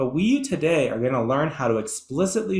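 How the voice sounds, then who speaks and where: A man's somewhat breathy voice. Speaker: educational presenter. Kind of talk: webinar lecture. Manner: fast.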